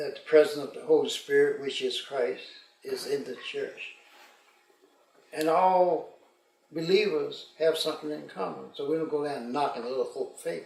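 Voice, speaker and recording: A man at a moderate pace, with long, frequent pauses and audible room echo. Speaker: retired pastor. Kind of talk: casual interview.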